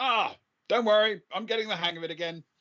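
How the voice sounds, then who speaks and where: This loud, booming put-on character voice sits fairly high in pitch. It races along at a very fast pace. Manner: breezy, reassuring.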